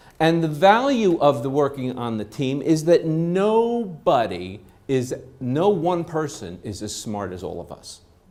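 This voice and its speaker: Speaking at a fairly slow pace, a man with a fairly high pitch moves through very wide pitch swings and big swings in loudness, with audible room echo around him. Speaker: trainer. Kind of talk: lecture. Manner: animated.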